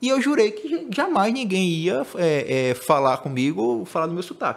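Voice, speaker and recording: A man with a northeastern Brazilian accent talks at a moderate pace with ordinary pitch variation. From Northeast Brazil, Maceió (Alagoas). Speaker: digital marketing specialist. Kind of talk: podcast conversation.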